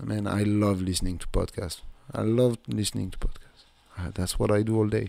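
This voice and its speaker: A man with a French accent speaks at a fairly low pitch. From south of France. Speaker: podcast host. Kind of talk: casual monologue.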